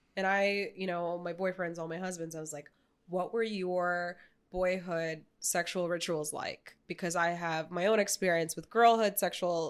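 In a very clean recording with a silent background, a woman speaks at a moderate pace in a fairly low, monotone, flat voice. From New York City, emigrated as child from former Soviet nation. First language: Russian. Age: 20s. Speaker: painter. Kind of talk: casual chat. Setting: studio.

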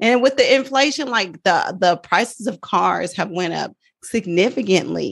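Animated in tone, a woman speaks at medium pitch with lively intonation and vocal fry. Her pace is moderate. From Oakland, California. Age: 40s. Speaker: nurse and personal finance educator. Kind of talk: casual interview chat.

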